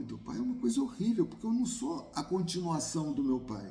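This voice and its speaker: A man's voice carries audible room echo. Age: 60s. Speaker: YouTuber on migration. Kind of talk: personal talk to camera.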